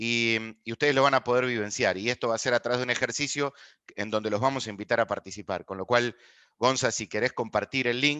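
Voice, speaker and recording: A man with an Argentine accent talks very fast at a medium pitch with fairly even intonation. The sound is dry and close with no echo, and the background is quiet. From Argentina. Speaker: people analytics expert, lecturer. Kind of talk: online master class.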